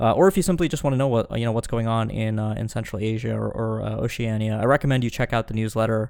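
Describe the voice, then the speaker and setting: A man at medium pitch, very fast pace, hardly any pauses and ordinary pitch variation. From India. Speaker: podcast host, foreign policy journalist. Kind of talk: analytical podcast discussion.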